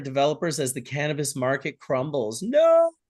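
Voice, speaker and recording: A man with a Canadian accent speaks in a normal speaking voice at a fairly quick pace, his pitch fairly high, against a quiet background. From Canada. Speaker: livestream host. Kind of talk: casual chat.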